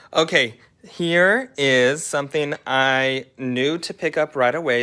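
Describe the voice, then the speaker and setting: A man talks in a bright, sharp tone with ordinary pitch variation. The background is quiet. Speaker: thrift reseller and channel host. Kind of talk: live haul show-and-tell. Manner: casual, chatty.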